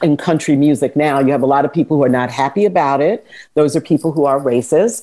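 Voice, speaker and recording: This woman has a very deep, low pitch and a dark, mellow tone. She speaks with an American accent and ordinary pitch variation. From New York (Bronx, Harlem). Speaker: media personality and music advocate. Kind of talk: interview.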